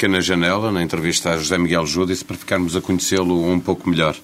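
Noticeable background noise sits behind a man with a very deep, low pitch. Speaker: radio journalist. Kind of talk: interview; scripted narration.

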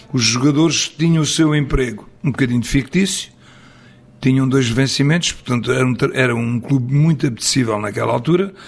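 At a fairly quick pace, a man talks in an unremarkable speaking voice with medium pitch, ordinary pitch variation and very even loudness. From Portugal, Abrantes area then Coimbra. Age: 60s. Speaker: football coach. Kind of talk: interview. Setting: on location in Coimbra.

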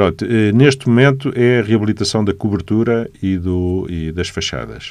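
With a Lisbon accent, a man speaks with lively intonation. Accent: Lisbon European Portuguese. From Portugal, Lisbon. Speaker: architect and city councillor. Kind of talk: radio interview.

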